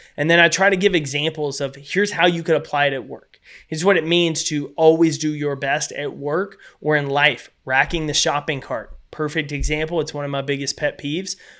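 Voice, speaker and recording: A man with a Texas accent, fairly high-pitched and bright, sharp in tone, at a fairly quick pace with fairly even intonation, in a very clean recording with a silent background. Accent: Texas twang. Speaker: keynote speaker and author. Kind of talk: podcast interview.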